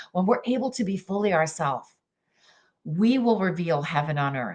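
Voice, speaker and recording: A woman speaks with lively intonation and an animated tone. The background is quiet. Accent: Canadian. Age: 60s. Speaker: jazz singer and life coach. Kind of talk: motivational talk.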